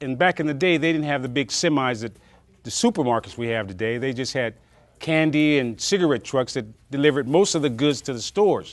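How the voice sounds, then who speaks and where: Against a quiet background, a man with an unremarkable speaking voice talks at a fairly quick pace, his fairly high pitch carrying lively intonation. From Alabama-born, raised in California. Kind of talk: oral history interview answer. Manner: reflective, conversational.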